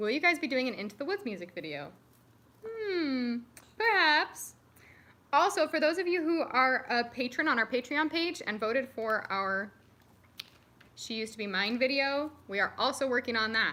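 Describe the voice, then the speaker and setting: A woman's raised, projected voice, high in pitch and bright and sharp in tone, with very wide pitch swings and long, frequent pauses. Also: moderate pace. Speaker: youtuber, singer. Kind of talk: live stream Q&A chat. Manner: casual, chatty.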